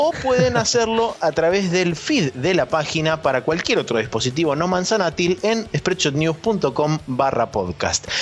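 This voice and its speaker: A man's high-pitched voice with a Rioplatense accent, lively intonation, very even loudness, a fairly slow pace and hardly any pauses, over noticeable background noise. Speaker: gaming podcast co-host. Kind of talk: casual chat.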